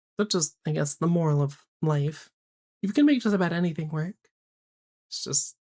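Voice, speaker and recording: A woman's somewhat breathy voice, fairly low in pitch, with a dark, mellow tone, moderate pace, ordinary pitch variation, long, frequent pauses and a dry, close sound with no echo. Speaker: streamer. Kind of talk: casual chat.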